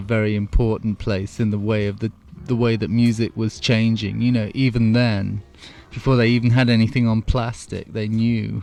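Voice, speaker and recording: A man speaks at a moderate pace with a medium pitch. His intonation stays fairly even. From England. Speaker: guitarist. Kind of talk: radio interview. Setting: radio studio.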